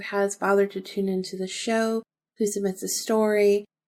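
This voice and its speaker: The voice has a calm tone and fairly even intonation. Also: woman. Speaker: podcast host. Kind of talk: casual monologue. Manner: calm, with pauses.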